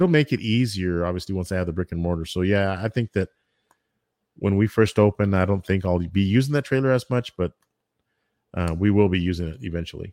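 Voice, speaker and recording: On a very clean recording with a silent background and a dry, close sound with no echo, a man with an American accent speaks very fast in a very deep, low pitch with ordinary pitch variation. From Texas, El Paso. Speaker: barbecue food truck owner and YouTuber. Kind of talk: casual interview chat.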